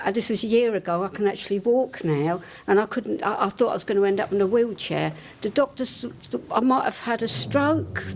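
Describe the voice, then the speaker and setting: Noticeable background noise surrounds a woman at a medium pitch. She talks at a fairly quick pace with lively intonation. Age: 60s. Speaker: gym member. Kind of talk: testimony. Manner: halting.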